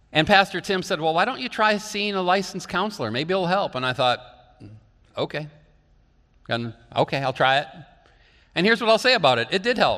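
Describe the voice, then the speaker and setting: A man with an American accent speaks in a raised, projected voice at a high pitch, bright and sharp in tone, with very wide pitch swings, a fairly quick pace and long, frequent pauses. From northeastern Iowa. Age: 50s. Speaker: pastor. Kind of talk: sermon.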